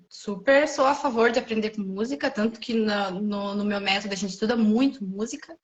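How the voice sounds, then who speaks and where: Fairly quick, somewhat breathy speech from a woman, fairly high in pitch with ordinary pitch variation. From Brazil. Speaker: French teacher. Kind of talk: casual chat. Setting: livestream.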